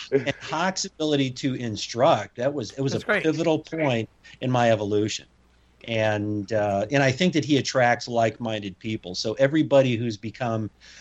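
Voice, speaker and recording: A man with an American accent, a normal speaking voice, medium pitch, ordinary pitch variation and a fairly quick pace. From US Midwest. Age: 50s. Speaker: former SWAT commander and strongman. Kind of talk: interview conversation.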